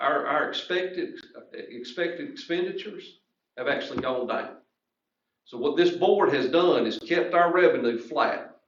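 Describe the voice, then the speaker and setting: The room echo is audible. A man speaks through it at a moderate pace. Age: 40s. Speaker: school official. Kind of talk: public meeting discussion.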